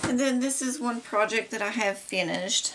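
At a moderate pace, a woman speaks with an American accent over light background noise. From Kentucky. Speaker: DIY crafts vlogger. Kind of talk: casual show-and-tell haul video. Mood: cheerful, relaxed. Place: home room.

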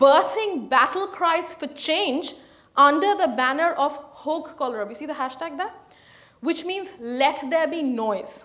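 High-pitched and lively in intonation, a woman speaks at a fairly slow pace against a quiet background. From India, Calcutta; India. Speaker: historian; guest lecturer. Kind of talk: lecture. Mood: serious, earnest. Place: hall.

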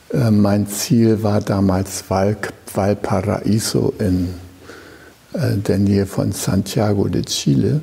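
A man's fairly low voice at a very slow pace, with very even loudness and noticeable background noise. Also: ordinary pitch variation. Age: 70s. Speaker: Zen teacher. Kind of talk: dharma talk.

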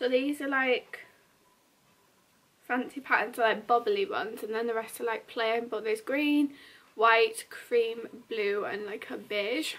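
At a fairly slow pace, a woman speaks, her pitch varying in an ordinary way. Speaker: vlogger. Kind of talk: casual vlog chat. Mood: relaxed, cheerful. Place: home room.

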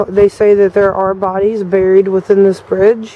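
At a moderate pace, a woman speaks in a dry sound with no echo over light background noise. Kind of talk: casual vlog narration. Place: waterside. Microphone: phone near.

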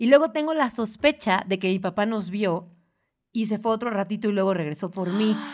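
A woman with a normal speaking voice, medium pitch, ordinary pitch variation and a fairly quick pace. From Mexico, Puebla. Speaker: podcast host. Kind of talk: casual chat.

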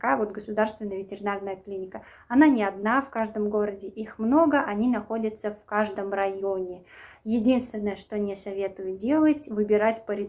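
The loudness rises and falls sharply, with ordinary variation in pitch. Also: woman, moderate pace. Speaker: vlogger. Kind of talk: casual vlog advice. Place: home room. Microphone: phone near.

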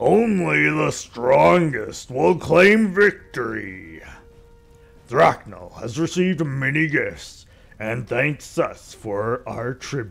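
Over music in the background, a man does a put-on character voice, fairly high-pitched with very wide pitch swings, at a very slow pace. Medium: game stream. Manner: contemptuous, bloodthirsty, theatrical.

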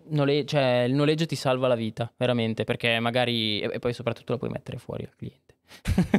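A man talks at a very fast pace with hardly any pauses. His intonation is fairly even against a quiet background. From Monza, northern Italy; Italy. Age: 20s. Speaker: filmmaker; podcast guest. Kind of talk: casual chat. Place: studio. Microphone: studio mic.

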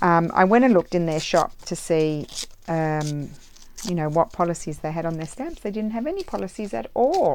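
Her pitch fairly low and her intonation lively, a woman speaks over light background noise. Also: moderate pace. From Australia. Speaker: crafter. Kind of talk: casual craft tutorial. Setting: home craft room. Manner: chatty, rambling. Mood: relaxed, cheerful. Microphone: phone near.

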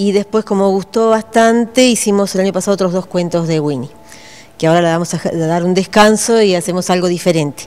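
Speaking at a moderate pace, the woman lets her pitch move in an ordinary way. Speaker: teacher. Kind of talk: interview answer. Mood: calm, friendly. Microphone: handheld.

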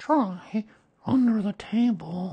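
At a fairly high pitch, the speaker performs in a put-on character voice.

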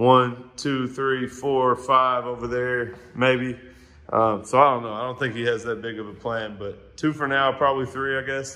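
A man's monotone, flat intonation at a moderate pace. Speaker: visiting barber vlogger. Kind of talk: casual vlog chat, shop tour. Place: shop. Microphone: phone near.

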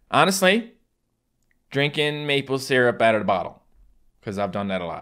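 Against a quiet background, a man with a strong Newfoundland accent speaks at a moderate pace with very wide pitch swings. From Newfoundland, Canada. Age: 20s. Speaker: gaming YouTuber. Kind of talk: casual talk to camera. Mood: joking, playful. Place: home room.

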